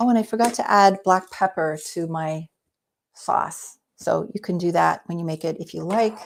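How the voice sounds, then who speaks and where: A woman's medium-pitched voice with ordinary pitch variation on a very clean recording with a silent background. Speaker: cooking instructor, cookbook author. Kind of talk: live cooking demo. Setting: live video stream. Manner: fast.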